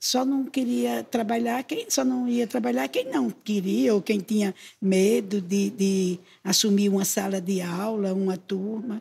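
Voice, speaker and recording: The voice stays very even in loudness, somewhat breathy and fairly slow, with a dark, mellow tone and lively intonation. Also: woman, medium pitch for a woman. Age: 60s. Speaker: retired teacher. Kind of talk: interview.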